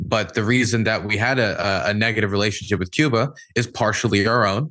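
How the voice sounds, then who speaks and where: A man with a Mid-Atlantic American accent speaks at a moderate pace in a bright, sharp tone with ordinary pitch variation. The background is quiet. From US, Maryland. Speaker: war journalist and political streamer. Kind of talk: podcast interview discussion.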